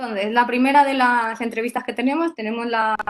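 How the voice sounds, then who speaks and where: With fairly even intonation, this woman talks at a moderate pace. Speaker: workshop host and interviewer. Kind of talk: webinar interview. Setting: online webinar. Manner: hesitant, many fillers.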